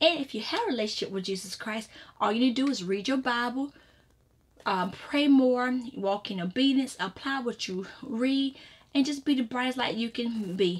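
A woman with a high pitch talks at a moderate pace, with ordinary pitch variation. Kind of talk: prayer and devotional teaching. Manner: conversational, repetitive, with fillers like you know; earnest, fervent in prayer. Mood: earnest, exhorting. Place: home room. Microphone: webcam.

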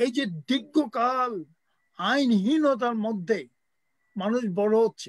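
A man speaks at an extremely high pitch with ordinary pitch variation. The sound is dry with no echo, and the background is quiet. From Bangladesh. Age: old. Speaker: writer and teacher; teacher. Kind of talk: impassioned speech. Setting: video call. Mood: earnest, critical of lawlessness. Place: home room. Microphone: video call.

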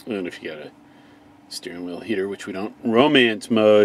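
A man's fairly low voice at a moderate pace, with fairly even intonation and a dry, echo-free sound. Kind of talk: casual vlog chat. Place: car.

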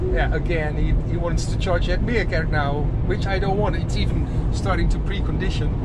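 Loud background noise fills the clip as the speech moves at a fairly quick pace. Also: man. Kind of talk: casual vlog chat. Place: car. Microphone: phone near.

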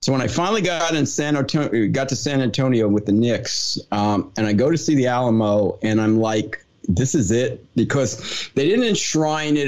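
A man with a medium pitch, a normal speaking voice and an American accent, with ordinary pitch variation. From New Jersey. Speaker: podcast host. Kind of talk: interview.

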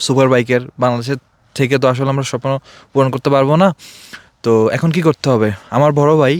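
A man with a fairly high pitch and an unremarkable speaking voice keeps his intonation fairly even. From Bangladesh, Feni district. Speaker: motorbike enthusiast, expatriate worker. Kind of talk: interview. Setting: outdoors in desert hills.

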